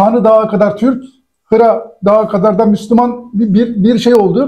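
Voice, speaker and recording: At a fairly slow pace, the voice keeps a dark, mellow tone, monotone, flat intonation, and very even loudness against a quiet background. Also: man. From Turkey. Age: 60s. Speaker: cartoonist; guest. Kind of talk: interview. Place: office.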